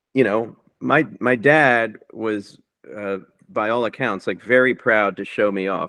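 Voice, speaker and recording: A normal speaking voice from a man at a medium pitch, ordinary pitch variation and fairly slow pace. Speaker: rock musician and author. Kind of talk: interview.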